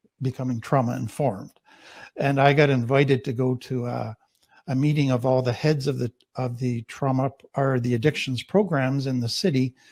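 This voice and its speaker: A man speaks with a Canadian accent at a medium pitch. It is an ordinary speaking voice. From Canada. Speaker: trauma therapist. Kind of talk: panel discussion introduction.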